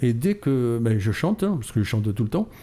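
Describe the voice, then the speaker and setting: A man's medium-pitched voice, dark and mellow in tone, somewhat breathy, at a fairly quick pace. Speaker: model maker, association founder. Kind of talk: radio interview. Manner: animated.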